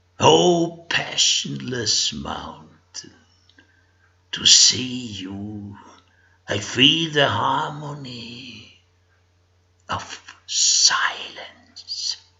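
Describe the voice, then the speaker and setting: Raspy and medium in pitch, a man uses a put-on character voice. He goes at a very slow pace with long, frequent pauses, very wide pitch swings and big swings in loudness. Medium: read story. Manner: soft, contemplative.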